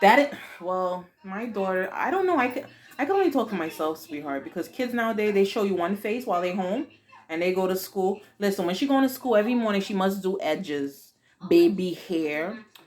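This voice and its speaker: Speaking at a fairly quick pace with a Haitian accent, a woman with a medium pitch sounds animated and uses lively intonation over noticeable background noise. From Haiti, raised in the US from age four. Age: 40s. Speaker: YouTube vlogger, mother. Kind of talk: casual Q&A chat with daughter; video outro.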